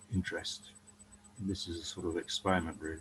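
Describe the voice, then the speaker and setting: With fairly even intonation, this man's voice comes across somewhat breathy. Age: 70s. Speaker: economist. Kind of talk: casual chat. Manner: hesitant, with many ums.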